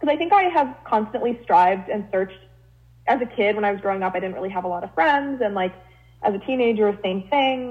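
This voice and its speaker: A woman's ordinary speaking voice at medium pitch, with ordinary pitch variation and a fairly quick pace. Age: 20s. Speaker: podcast co-host. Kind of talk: casual chat.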